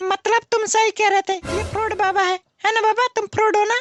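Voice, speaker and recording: In a cartoonish character voice, someone rattles along at a very fast pace while faint music plays in the background. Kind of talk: desi comedy sketch. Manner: whiny, wheedling, repetitive.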